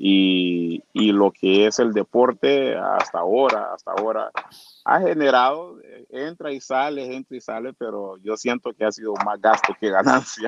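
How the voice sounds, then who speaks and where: A man speaks at a fairly slow pace, his voice sitting at a medium pitch with ordinary pitch variation. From Honduras, Trujillo, Colón (Garifuna community). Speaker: bodybuilder. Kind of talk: interview. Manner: halting, many repetitions.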